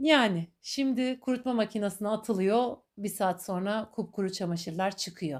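A woman speaks in a plain, everyday voice at a medium pitch, with ordinary pitch variation and hardly any pauses. The recording is very clean, with a silent background. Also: moderate pace. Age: 40s. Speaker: podcaster. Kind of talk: personal monologue. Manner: warm, reflective.

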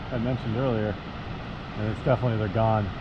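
Clear background noise sits behind a man speaking at medium pitch.

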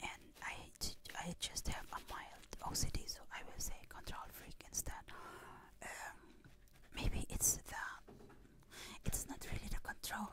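Whispering at a fairly slow pace, with long, frequent pauses. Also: woman. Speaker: ASMR creator. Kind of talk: ASMR personal talk. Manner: whispered; chewing gum while speaking. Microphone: studio mic.

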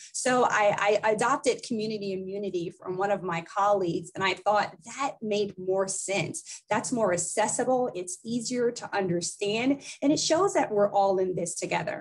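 A woman talks at a moderate pace with hardly any pauses and ordinary pitch variation. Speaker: physician and public health executive. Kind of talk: interview. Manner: formal. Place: office. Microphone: webcam.

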